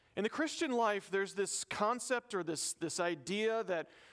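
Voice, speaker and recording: Speaking with an American accent, a man with a high voice keeps a moderate pace and ordinary pitch variation on a very clean recording with a silent background. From US South. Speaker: pastor. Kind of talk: sermon.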